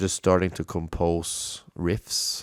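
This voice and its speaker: Very slowly and in a monotone, flat intonation, a man with a Norwegian accent speaks at a very deep, low pitch on a very clean recording with a silent background. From Norway, Halden. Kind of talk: casual solo monologue. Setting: home studio, bomb shelter. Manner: hesitant, many fillers.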